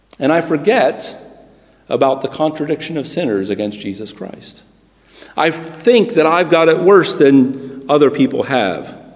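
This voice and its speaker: A man talks at a fairly slow pace with an American accent and a fairly high pitch. It's an ordinary speaking voice with lively intonation. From United States. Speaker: preacher. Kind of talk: sermon. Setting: church.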